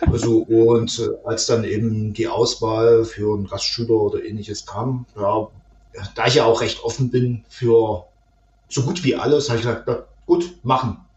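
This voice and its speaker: Over noticeable background noise, a man at a medium pitch talks at a moderate pace with fairly even intonation. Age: 30s. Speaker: IT administrator and host father. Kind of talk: casual interview.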